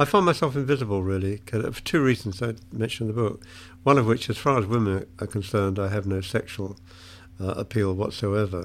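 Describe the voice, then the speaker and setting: On a very clean recording with a silent background, a man with a British accent and fairly low pitch talks at a fairly quick pace with ordinary pitch variation. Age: 70s. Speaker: retired English literature professor and author. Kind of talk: interview about his book. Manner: hesitant, self-correcting.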